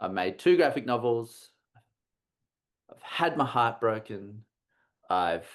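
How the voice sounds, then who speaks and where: With an Australian accent, a man speaks at a moderate pace against a quiet background. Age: 40s. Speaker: comics artist and university teacher. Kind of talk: casual chat. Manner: halting, many repetitions.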